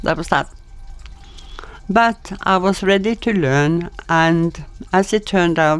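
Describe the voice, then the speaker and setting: Speaking very slowly with long, frequent pauses, a woman with a Norwegian accent uses a fairly low pitch and ordinary pitch variation. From Norway. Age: 80s+. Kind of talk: storytelling, personal anecdotes.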